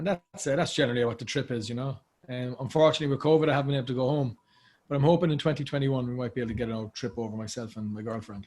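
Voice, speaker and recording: A man with an Irish accent and a medium pitch speaks at a very fast pace, somewhat breathy, with ordinary pitch variation. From Ireland, Cork. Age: 30s. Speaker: actor. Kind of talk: casual chat.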